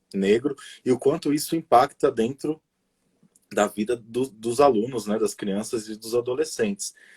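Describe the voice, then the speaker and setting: Recorded dry and close with no echo, a man with a dark, mellow tone speaks at medium pitch and a fairly slow pace. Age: 30s. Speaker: educator, pedagogue. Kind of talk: casual interview on a live stream. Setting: online live stream.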